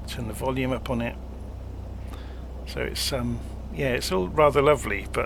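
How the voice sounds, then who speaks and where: A man speaks with a British accent against noticeable background noise. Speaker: flight simulator content creator. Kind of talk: casual tutorial walkthrough.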